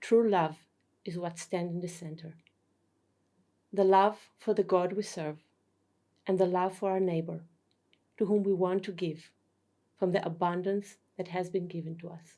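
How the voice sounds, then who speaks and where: A woman with a non-native accent and a dark, mellow tone speaks in a monotone, flat intonation, with long, frequent pauses and big swings in loudness. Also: medium pitch for a woman, moderate pace. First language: not English. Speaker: spiritual teacher. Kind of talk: lecture. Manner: formal.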